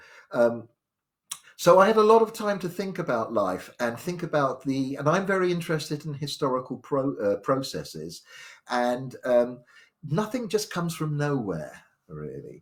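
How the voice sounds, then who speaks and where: In a very clean recording with a silent background, a man with a southern English accent speaks at a moderate pace and fairly high pitch, making very wide pitch swings. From southwest London, England. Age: 60s. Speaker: spiritual storyteller. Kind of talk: live stream talk. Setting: live stream from home. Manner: halting.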